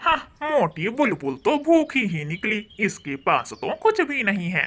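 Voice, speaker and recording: A cartoonish character voice moves at a fairly slow pace, fairly high in pitch, with very wide pitch swings. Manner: cheeky, joking.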